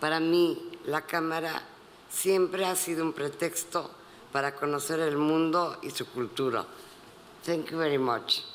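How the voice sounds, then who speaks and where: Amid noticeable background noise, a man with a fairly high pitch talks at a moderate pace with fairly even intonation and long, frequent pauses. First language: Spanish. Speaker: photographer, award recipient. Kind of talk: acceptance speech.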